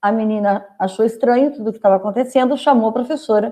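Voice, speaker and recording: Her tone is dark and mellow as a woman talks at a fairly quick pace. Pitch variation is ordinary. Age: 60s. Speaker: reiki master. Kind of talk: casual chat.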